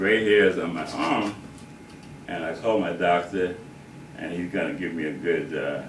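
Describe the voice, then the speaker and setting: Audible room echo surrounds a man who speaks at a moderate pace. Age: 60s. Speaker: grandfather giving a family message. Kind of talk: recorded personal speech with a joke. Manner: hesitant, with frequent fillers.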